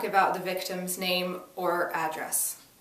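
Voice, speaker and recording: Over noticeable background noise, this woman keeps to a moderate pace. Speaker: actor. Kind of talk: dramatic reading of a first-person monologue.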